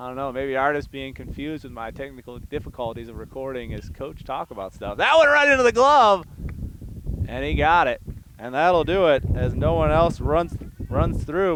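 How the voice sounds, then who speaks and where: A man with a fairly high pitch speaks at a moderate pace amid noticeable background noise. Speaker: high school sports play-by-play announcer. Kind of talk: live commentary.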